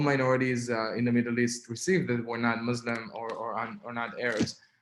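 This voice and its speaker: A man speaks in an Israeli accent. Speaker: activist and writer. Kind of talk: webinar talk. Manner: halting, many fillers.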